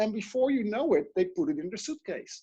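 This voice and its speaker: With a Dutch accent, a man speaks at a fairly quick pace in a dark, mellow tone with lively intonation. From Netherlands. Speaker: life coach and speaker. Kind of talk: interview.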